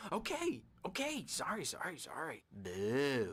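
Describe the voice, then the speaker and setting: Using a put-on character voice, a man speaks at a fairly slow pace with fairly high pitch. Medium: video game. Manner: erratic, playful.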